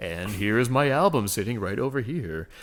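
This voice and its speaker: Using a put-on character voice, a man speaks at medium pitch. His intonation is lively and his pace is moderate. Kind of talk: polished, announcer-like.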